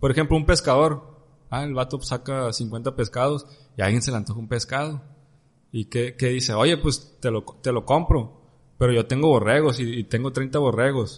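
At a moderate pace, a man with a somewhat breathy voice talks at a medium pitch with fairly even intonation. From Mexico. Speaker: podcast host. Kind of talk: casual chat.

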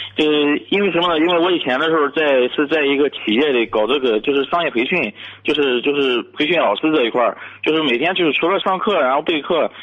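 Over noticeable background noise, a man talks very fast in a fairly high voice, with ordinary pitch variation and very even loudness. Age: 30s. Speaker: caller, civil servant. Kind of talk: radio call-in advice. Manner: halting.

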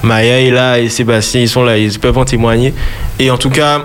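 Over noticeable background noise and audible room echo, a man speaks at a moderate pace and medium pitch in a flat monotone. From Martinique. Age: 20s. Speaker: gospel singer. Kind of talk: radio interview. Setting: studio.

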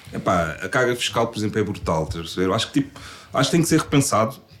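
The speaker is a man with a fairly low pitch. Noticeable background noise is audible. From Portugal (since age 5). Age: 30s. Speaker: real estate investor and financial consultant. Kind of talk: casual interview chat.

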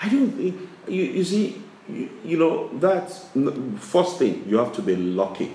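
A man speaks at a fairly slow pace, leaving long, frequent pauses. Audible room echo and noticeable background noise fill the recording. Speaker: business chairman. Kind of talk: interview. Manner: halting.

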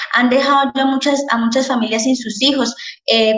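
With fairly even intonation, the woman talks in a high-pitched voice. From Colombia, Popayán (Cauca). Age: 20s. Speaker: architect. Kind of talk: interview about current protests.

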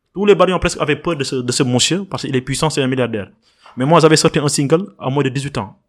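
Fairly high male speech with ordinary pitch variation, very clean recording and silent background. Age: young. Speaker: environmental activist and artist. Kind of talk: interview. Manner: halting.

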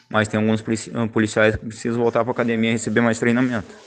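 This is a man speaking at a medium pitch. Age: 20s. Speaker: street vendor. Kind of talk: testimony. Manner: halting.

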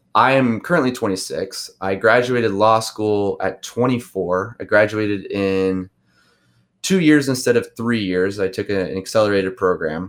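A man with a plain, everyday voice and a fairly low pitch. He talks at a fairly slow pace with ordinary pitch variation. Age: 20s. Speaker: criminal defense lawyer. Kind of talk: casual interview.

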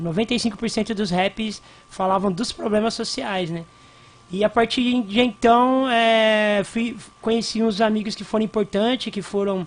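A man with a high voice talks very slowly and with fairly even intonation, noticeable noise running in the background. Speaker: hip hop cultural activist. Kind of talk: radio interview. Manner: casual, slangy.

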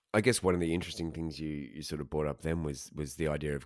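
A man talks with an Australian accent. His intonation is monotone and flat. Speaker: podcast host and interviewer. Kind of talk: casual interview.

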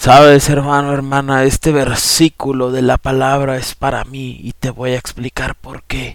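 Fairly slow yet with hardly any pauses, a man at a medium pitch speaks in a flat monotone, his loudness swinging widely. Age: 30s. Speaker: lay preacher and podcaster. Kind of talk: testimony; sermon.

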